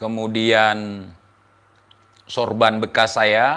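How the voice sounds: A man uses a put-on character voice with a fairly low pitch and a bright, sharp tone. He speaks at a very slow pace with little pitch movement.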